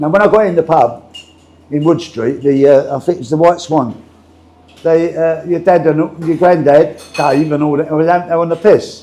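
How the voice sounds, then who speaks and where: A man speaks with a Cockney accent. His pitch is fairly high and his intonation fairly even. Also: moderate pace. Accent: East London Cockney. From London, Walthamstow (east London). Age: 70s. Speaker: retired boxer and former pub landlord. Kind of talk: casual interview chat.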